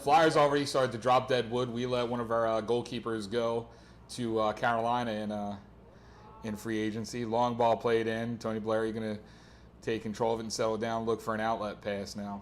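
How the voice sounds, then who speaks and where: The man's voice sits at a medium pitch. He talks fairly quickly in a flat monotone. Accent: American. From Philadelphia. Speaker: soccer play-by-play commentator. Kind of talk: live commentary.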